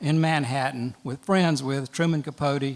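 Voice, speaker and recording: At a moderate pace, a man speaks with fairly even intonation and a fairly high pitch. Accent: Southern US. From Georgia, US South (Macon). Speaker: lawyer and storyteller. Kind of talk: storytelling. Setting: stage with audience.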